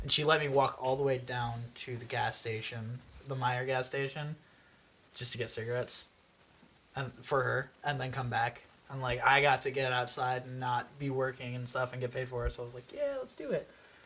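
A man with an American accent speaks at medium pitch and a moderate pace. His intonation is monotone and flat. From New York. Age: 20s. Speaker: podcast guest. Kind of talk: casual chat.

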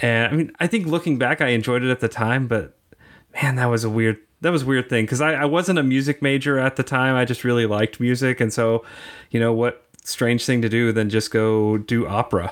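A man with an ordinary speaking voice at medium pitch speaks at a fairly quick pace, his loudness very even and his pitch variation ordinary. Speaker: tech manager and theme park enthusiast. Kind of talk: interview. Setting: remote call.

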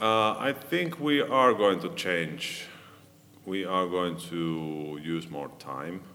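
A man's very deep, low voice at a very slow pace, with lively intonation. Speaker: band musician. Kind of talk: interview. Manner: halting.

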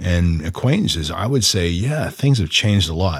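This man speaks at a moderate pace with a Canadian accent. His intonation is lively and his voice somewhat breathy. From Ontario, Canada (Orono, near Oshawa). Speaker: actor. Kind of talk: casual chat. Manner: halting.

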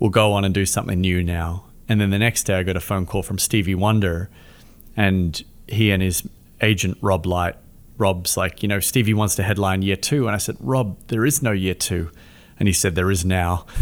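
Someone with an Australian accent speaks at a moderate pace with fairly even intonation on a very clean recording with a silent background. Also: man, very deep, low pitch for a man. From Australia, Melbourne. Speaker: charity founder. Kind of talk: interview.

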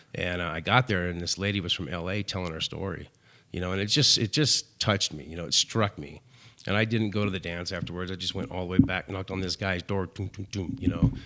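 Very fast and very deep, a man with an American accent speaks in a bright, sharp tone with ordinary pitch variation on a very clean recording with a silent background. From US West Coast (Antioch, near Oakland, California). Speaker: recovery club director. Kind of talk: casual interview, recovery story.

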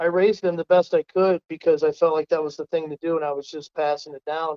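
Recorded with a dry, close sound and no echo, a man with an American accent speaks at a high pitch in a dark, mellow tone. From Ohio, US Midwest. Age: 40s. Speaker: coon hunting league founder, contractor. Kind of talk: podcast interview.

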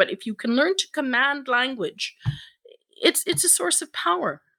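Speaking at a moderate pace with an Irish accent, a woman has a high-pitched, bright, sharp tone on a very clean recording with a silent background. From Ireland. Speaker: editor and communications consultant. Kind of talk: casual interview.

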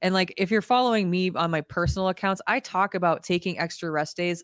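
An ordinary speaking voice from a woman at a fairly quick pace, dry and close with no echo over a quiet background. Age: 30s. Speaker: fitness podcast co-host. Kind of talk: casual chat.

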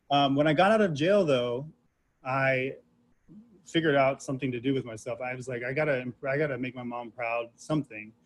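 An unremarkable speaking voice from a man at a fairly quick pace, medium in pitch with ordinary pitch variation. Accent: American. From Central Florida (Titusville). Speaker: hair stylist. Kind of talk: interview. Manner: casual, frequent fillers.

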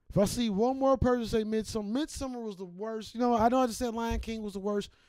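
With an American accent, a man speaks in an animated tone at a high pitch with ordinary pitch variation, music playing in the background. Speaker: podcast host. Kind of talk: casual stoner banter; angry rant. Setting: podcast studio. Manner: loud, fast, profane, animated.

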